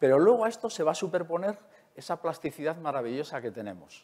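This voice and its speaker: This man's pitch swings very widely. He speaks fairly quickly at a fairly high pitch. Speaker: neuroscientist; conference speaker. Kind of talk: lecture. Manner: fast. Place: hall.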